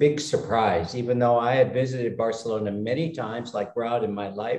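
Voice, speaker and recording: An ordinary speaking voice with lively intonation moves at a moderate pace in an American accent. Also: man. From United States. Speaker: retired expat. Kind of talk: casual chat. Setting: video call.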